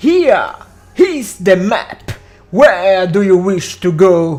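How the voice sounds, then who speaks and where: Someone uses a put-on character voice at middle pitch and a very slow pace. Faint music plays in the background. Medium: fan dub. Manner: solemn, portentous.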